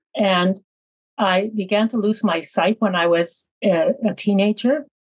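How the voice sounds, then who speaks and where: A woman's medium-pitched, somewhat breathy voice with a Canadian accent, moderate pace and ordinary pitch variation, in a dry, close sound with no echo. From northern Saskatchewan, Canada. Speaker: lawyer, blind panelist. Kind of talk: panel discussion.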